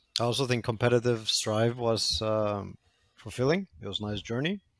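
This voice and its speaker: A man speaks at a moderate pace with a plain, everyday voice, medium in pitch, with ordinary pitch variation. The recording is very clean with a silent background. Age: 20s. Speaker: esports team figure. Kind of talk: casual chat.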